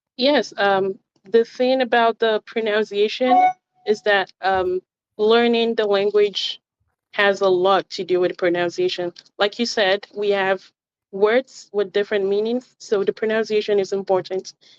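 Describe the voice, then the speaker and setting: Music plays in the background as a woman talks at a fairly slow pace in a medium pitch. The sound is dry and close with no echo, and her intonation stays fairly even. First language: Yoruba. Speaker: language tutor. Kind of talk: interview. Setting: remote call.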